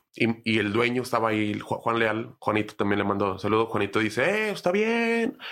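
A man with a Mexican accent at a fairly quick pace, his loudness very even and intonation fairly even, on a very clean recording with a silent background. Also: medium pitch for a man. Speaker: stand-up comedian. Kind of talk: casual chat.

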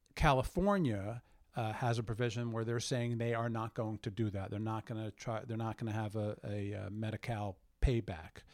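At a moderate pace, the speaker has an unremarkable speaking voice. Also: man, medium pitch for a man, fairly even intonation, very clean recording, silent background. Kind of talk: interview.

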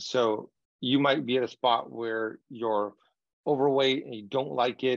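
The speaker has a normal speaking voice, moving at a fairly slow pace with fairly even intonation. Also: man, medium pitch for a man. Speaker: communication coach and author. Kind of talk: interview conversation.

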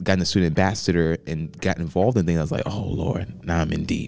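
A man's very deep, low voice at a very fast pace with fairly even intonation. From North Carolina, Cabarrus County. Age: 18. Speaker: college student and pastor. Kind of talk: casual chat.

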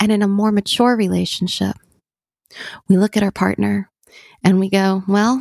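Fairly even intonation in a dry, close recording with no echo. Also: woman. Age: 40s. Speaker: therapist and podcast host. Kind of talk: casual chat.

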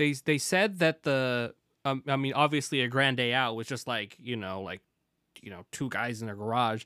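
A man speaks with an American accent at a medium pitch, his loudness swinging widely. The sound is dry and close with no echo, on a very clean recording with a silent background. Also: ordinary pitch variation, moderate pace. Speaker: podcast host. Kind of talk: casual chat. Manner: joking, rambling.

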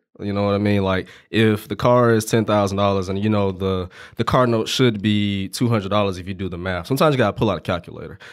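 On a very clean recording with a silent background, a man talks at a very fast pace in a fairly low pitch with fairly even intonation. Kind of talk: casual podcast interview.

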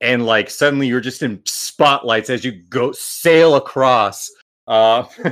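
Over a quiet background, someone is reading aloud in a natural voice with ordinary pitch variation.

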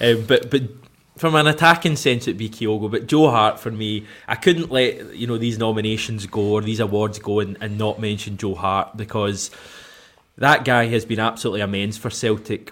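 Speaking at a moderate pace with a Scottish accent, a man holds a medium pitch with ordinary pitch variation in a very clean recording with a silent background. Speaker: football podcast host. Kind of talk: casual chat.

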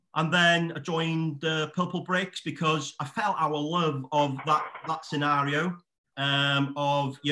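A man speaks with a Welsh accent at a fairly high pitch. His intonation is monotone and flat. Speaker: estate agent. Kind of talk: casual chat.

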